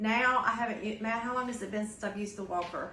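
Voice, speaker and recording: Fairly even intonation comes through with audible room echo and noticeable background noise. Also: woman. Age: 60s. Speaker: vlogger recovering from knee surgery. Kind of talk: casual video update and tips. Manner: hesitant with many fillers.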